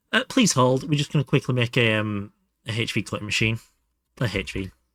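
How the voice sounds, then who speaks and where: Recorded very cleanly, with a silent background and a dry, close sound with no echo, a man with a northern English accent speaks at a fairly quick pace, at medium pitch with ordinary pitch variation. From northern England, Hull. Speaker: game streamer. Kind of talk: live gaming stream chat. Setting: live stream. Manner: animated.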